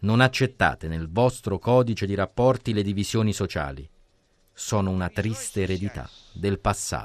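A man speaks at a moderate pace with a fairly low pitch and ordinary pitch variation. His is an unremarkable speaking voice. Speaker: podcast narrator. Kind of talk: scripted narration.

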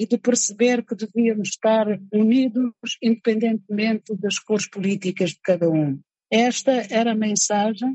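Her pitch sits fairly high, with typical movement up and down. The woman's voice carries some breathiness. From Angola, Cabinda. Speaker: writer and poet. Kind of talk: interview testimony.

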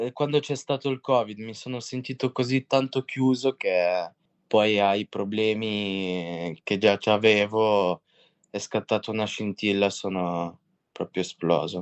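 A man's fairly low voice at a very slow pace, with ordinary pitch variation. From Russia, raised in Italy from age 8. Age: 20s. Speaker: young offender in rehabilitation community. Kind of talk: testimony.

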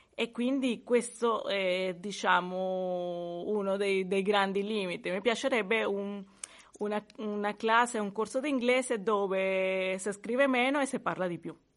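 A woman's medium-pitched voice in a Spanish accent, fairly slow, with ordinary pitch variation. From Venezuela. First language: Spanish (speaking Italian). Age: 40s. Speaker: language student. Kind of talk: language lesson. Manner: halting.

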